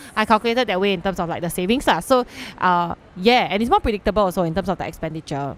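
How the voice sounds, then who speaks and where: At a very fast pace, a woman talks in a medium pitch. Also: ordinary pitch variation. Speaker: podcast co-host. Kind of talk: casual chat.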